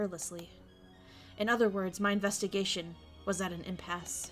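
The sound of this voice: A woman speaks in a husky, gruff put-on character voice at medium pitch and a fairly quick pace, with clear music in the background.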